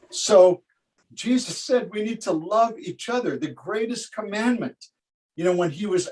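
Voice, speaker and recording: Heard dry and close with no echo, a man with a high pitch talks with lively intonation. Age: 70s. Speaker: pastor. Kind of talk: sermon. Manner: halting.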